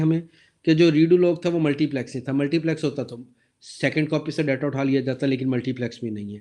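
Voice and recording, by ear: The voice moves at a fast pace with a slightly mellow tone and fairly even intonation. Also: man.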